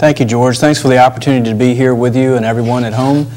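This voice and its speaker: A man talks very fast in a Virginia accent, at a medium pitch with monotone, flat intonation. Noticeable background noise sits behind him. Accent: Virginia Southern American. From Virginia (Northern Neck, Warsaw). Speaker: attorney and political candidate. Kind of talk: interview.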